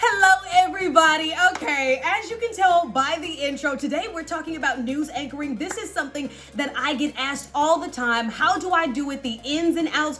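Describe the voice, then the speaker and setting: The voice is raised and projected, moving at a fairly quick pace with ordinary pitch variation. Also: woman, high pitch for a woman. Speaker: news anchor. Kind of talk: casual talk to camera, tutorial.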